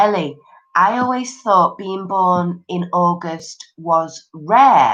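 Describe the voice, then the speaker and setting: Lively intonation runs through a woman's speech. She has a medium pitch and an English accent. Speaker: live stream host. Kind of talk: casual chat. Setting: live stream. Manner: animated.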